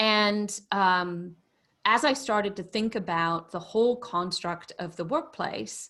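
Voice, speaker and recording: Her British accent clear on a very clean recording with a silent background, a woman speaks at a fairly slow pace and medium pitch. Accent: proper British. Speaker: business consultant and former tech executive. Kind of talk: interview conversation. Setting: podcast interview. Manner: energetic.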